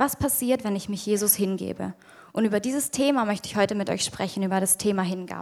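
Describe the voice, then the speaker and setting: Here a woman speaks very fast. Her pitch is medium, with ordinary pitch variation. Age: 20s. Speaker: youth leader giving a sermon. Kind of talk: sermon.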